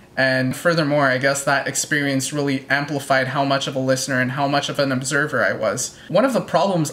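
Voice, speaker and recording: Someone talks at a fairly quick pace over noticeable background noise. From Quebec, Canada. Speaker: YouTuber, music reaction channel. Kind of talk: Q&A monologue answering viewer questions.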